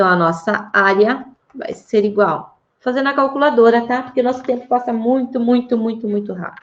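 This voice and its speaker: Her pitch high with ordinary variation, a woman talks. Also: moderate pace. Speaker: math teacher. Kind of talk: online class lesson.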